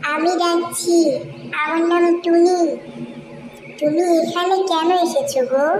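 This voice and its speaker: In a cartoonish character voice with an extremely high pitch, the speaker goes at a very slow pace over clear background noise. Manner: warm, chatty.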